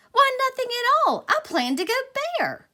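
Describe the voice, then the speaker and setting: A woman's put-on, squeaky character voice at an extremely high pitch, with lively intonation and a moderate pace. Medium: read story. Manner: theatrical, dramatic.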